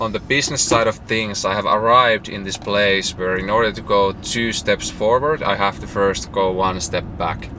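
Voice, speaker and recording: A man's fairly low voice with a Finnish accent, hardly any pauses, and noticeable background noise. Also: ordinary pitch variation, moderate pace. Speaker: entrepreneur vlogger. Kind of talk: casual vlog monologue.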